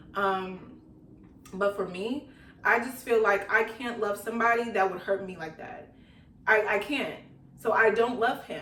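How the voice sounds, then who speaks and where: A woman with a fairly high pitch talks at a fairly slow pace with long, frequent pauses, ordinary pitch variation and big swings in loudness. Audible room echo and noticeable background noise are present. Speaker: YouTuber, storytime vlogger. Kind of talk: casual storytime vlog.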